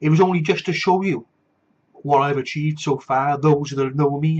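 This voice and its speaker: Animated and somewhat breathy, a man speaks at a fairly quick pace with a Welsh accent and a fairly high pitch. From Wales. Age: 40s. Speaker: vlogger. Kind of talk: casual personal video blog with ranting. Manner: animated, ranting.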